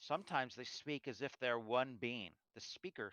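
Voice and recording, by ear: With a quiet background, the clip features reading aloud in a natural voice.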